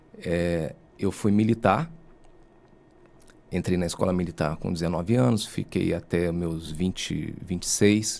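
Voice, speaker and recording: With long, frequent pauses, a man speaks at a fairly slow pace in a very deep, low pitch. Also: ordinary pitch variation. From Rio de Janeiro state, Brazil (Angra dos Reis). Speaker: lawyer and university professor. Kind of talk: podcast interview.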